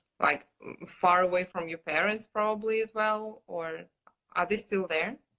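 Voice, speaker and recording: A woman's bright, sharp voice with a Russian accent and fairly even intonation. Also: medium pitch for a woman, fairly slow pace. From Russia (Kurgan). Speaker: podcast host. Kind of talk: interview conversation. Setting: Instagram live. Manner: hesitant, many fillers.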